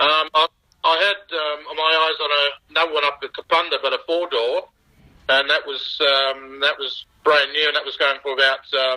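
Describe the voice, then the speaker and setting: The speaker has an Australian accent and a moderate pace. The intonation stays fairly even. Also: man, fairly high pitch for a man. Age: 50s. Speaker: original car owner. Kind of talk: interview. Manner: halting.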